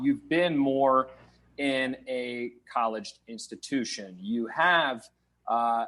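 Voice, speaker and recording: A man with a slight Minnesota accent speaks in a fairly high pitch. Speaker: podcast host. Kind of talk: podcast interview.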